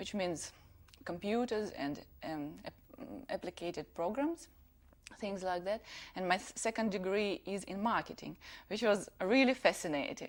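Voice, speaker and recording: A woman with a Russian accent, medium pitch and lively intonation, at a moderate pace with long, frequent pauses, on a very clean recording with a silent background. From Russia (Siberia), raised partly in Ukraine. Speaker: designer. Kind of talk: TV interview. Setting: TV studio.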